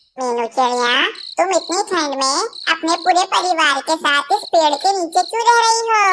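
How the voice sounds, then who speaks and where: A cartoonish character voice comes through, squeaky and extremely high in pitch. The pace is moderate, with clear background noise behind it. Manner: warm.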